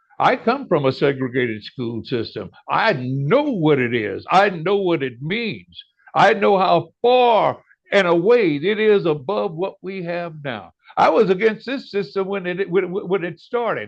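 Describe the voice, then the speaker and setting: A high-pitched man with an American accent and very wide pitch swings. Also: fairly slow pace. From US South (Louisiana). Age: 70s. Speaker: author. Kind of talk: interview. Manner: animated, repeats words when emphatic.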